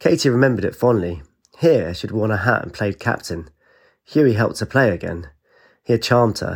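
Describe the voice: Plain reading aloud with lively intonation is heard over a quiet background.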